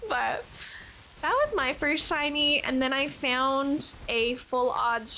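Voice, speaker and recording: A woman speaks in a high pitch at a fairly slow pace, her voice raised and projected. Noticeable background noise can be heard. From Canada. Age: 20s. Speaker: streamer. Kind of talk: casual chat. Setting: live stream.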